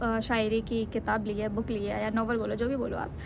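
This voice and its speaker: A woman speaks at a moderate pace with a fairly high pitch and a relaxed tone. Her intonation is monotone and flat, with audible room echo. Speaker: vlogger. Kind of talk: casual vlog talk. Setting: outdoors on rooftop in sun. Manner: relaxed, Hindi-English mix with fillers.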